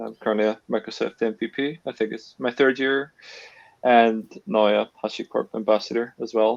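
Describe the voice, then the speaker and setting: This man has a strong Northern Irish accent and a medium pitch. He keeps a moderate pace and fairly even intonation. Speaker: cloud engineer. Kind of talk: webinar conversation. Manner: hesitant, with frequent fillers.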